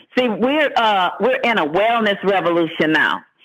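Over a quiet background, a man speaks high in pitch with ordinary pitch variation. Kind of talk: sales pitch. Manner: excitable, energetic, pumped-up. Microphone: phone line.

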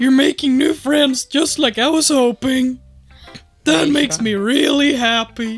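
A high-pitched voice speaks at a fairly slow pace with very even loudness. Faint music plays in the background. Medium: actual play. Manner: cheerful, forced, wistful.

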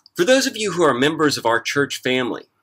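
A man talks, and the background stays quiet. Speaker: pastor. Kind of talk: church service welcome and announcements. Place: garden. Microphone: phone near.

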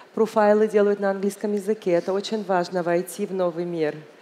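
Her pitch is medium for a woman, and her tone is dark and mellow. The intonation stays fairly even. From Egypt. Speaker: business delegate; speaker. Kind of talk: panel talk. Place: hall. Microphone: headset.

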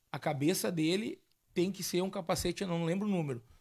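The man's voice is high-pitched, and he talks at a moderate pace. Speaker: podcast host. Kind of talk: casual chat. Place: studio. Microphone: studio mic.

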